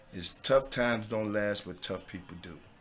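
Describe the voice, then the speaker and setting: In a Southern US accent, a man with a fairly low pitch and a bright, sharp tone speaks at a moderate pace. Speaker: actor and former pro football player. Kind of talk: podcast interview.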